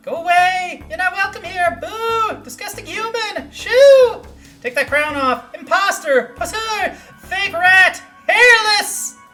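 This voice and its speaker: In a put-on character voice, shrill and extremely high in pitch, the speaker goes at a fairly slow pace over faint background music. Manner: hostile, shrieking.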